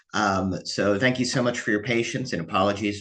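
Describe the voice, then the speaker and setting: At a moderate pace, a man speaks with a fairly low pitch, ordinary pitch variation and vocal fry. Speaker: independent researcher and analyst. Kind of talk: news briefing. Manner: conversational with frequent fillers.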